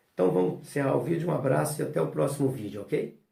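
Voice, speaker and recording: Amid audible room echo, a man with vocal fry speaks in a dark, mellow tone with lively intonation. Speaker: notary and law teacher. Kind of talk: lecture. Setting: recorded at home. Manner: casual, filler-heavy.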